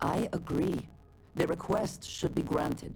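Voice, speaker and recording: Someone does a put-on character voice at a middle pitch and a fairly slow pace over clear background noise. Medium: video game.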